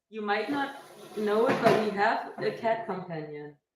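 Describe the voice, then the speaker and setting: Her fairly high voice swings very widely in pitch, and audible room echo surrounds this woman. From Germany, Berlin. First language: German. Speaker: fitness streamer. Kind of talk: casual live stream chat. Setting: live stream.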